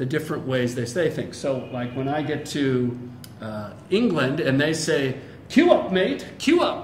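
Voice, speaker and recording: A fairly slow American accent with lively intonation, audible room echo and noticeable background noise. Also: man. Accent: generic American. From United States. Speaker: English teacher. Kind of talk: casual interview conversation.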